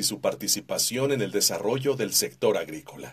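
A man's voice moves at a moderate pace, the background around it quiet. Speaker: voice-over artist. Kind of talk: corporate narration. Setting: studio. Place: booth. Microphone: studio mic.

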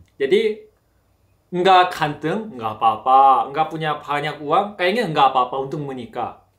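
A man with a Korean accent speaks at a fairly high pitch with lively intonation. The background is quiet. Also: moderate pace. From South Korea. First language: Korean (speaking Indonesian). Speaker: Korean language teacher. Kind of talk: casual interview chat. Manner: halting. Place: home room.

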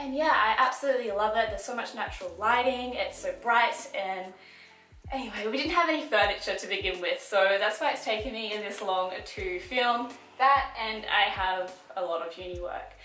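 A woman speaks at a medium pitch in a bright, sharp tone, with ordinary pitch variation. Her moderate pace carries over audible room echo.

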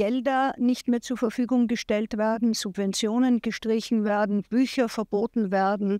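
A woman's fairly high, dark, mellow voice, monotone and flat, at a moderate pace with hardly any pauses and very even loudness, in a dry, close sound with no echo and on a very clean recording with a silent background. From Austria. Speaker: film producer, initiative founder. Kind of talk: press interview. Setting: café press event.

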